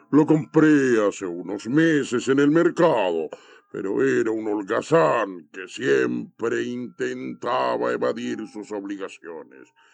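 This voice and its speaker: Putting on a character voice, a man speaks at a fairly slow pace with a fairly low pitch and very wide pitch swings. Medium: read story.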